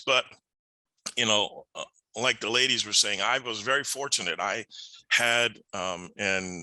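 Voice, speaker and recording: Speaking at a fairly slow pace with long, frequent pauses, a man with a medium pitch and ordinary pitch variation has a bright, sharp tone in a dry, close sound with no echo. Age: 60s. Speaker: computer science professional, panelist. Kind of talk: panel webinar discussion.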